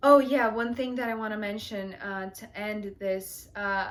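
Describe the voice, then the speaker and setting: A woman with a non-native accent speaks at a fairly high pitch. She goes very slowly, her intonation fairly even. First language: not English. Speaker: tarot reader, channel host. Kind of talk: heartfelt thank-you monologue to viewers. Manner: hesitant, many fillers.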